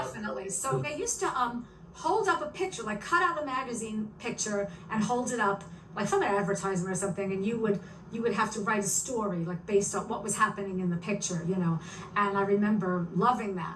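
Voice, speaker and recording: A very fast, lively voice in a New York accent, with audible room echo and noticeable background noise. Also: woman, medium pitch for a woman. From New York City. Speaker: author and stand-up comedian. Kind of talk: interview. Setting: video podcast.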